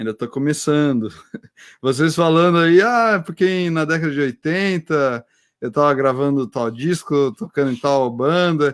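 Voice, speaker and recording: With an unremarkable speaking voice, a man talks at a fairly slow pace and a fairly high pitch with ordinary pitch variation, in a dry, close sound with no echo. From interior of São Paulo state (Americana). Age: 40s. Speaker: oceanographer and teacher. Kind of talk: casual chat. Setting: online live stream.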